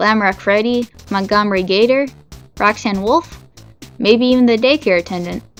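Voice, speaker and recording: Music sits in the background as a woman talks at a moderate pace. Her voice is medium in pitch, with ordinary pitch variation. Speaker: video essayist. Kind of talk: video essay narration.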